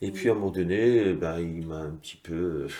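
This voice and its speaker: A man's voice with lively intonation at a fairly slow pace. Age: 60s. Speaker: former weightlifting champion. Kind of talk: interview testimony. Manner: hesitant with frequent fillers.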